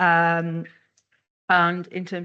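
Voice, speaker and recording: A speaker with a Welsh accent talks over a quiet background. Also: woman. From Wales. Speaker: economic geographer, panelist. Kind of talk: panel discussion. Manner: animated, moves hands while talking.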